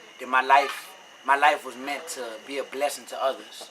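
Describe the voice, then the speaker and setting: Over noticeable background noise, a man talks with a New Orleans accent and a fairly high pitch. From New Orleans, Louisiana, US South. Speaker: rapper. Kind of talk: interview. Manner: casual, conversational.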